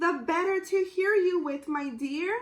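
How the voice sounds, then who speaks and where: A woman puts on a character voice at an extremely high pitch, squeaky and growling. She speaks at a fairly slow pace. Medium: read story.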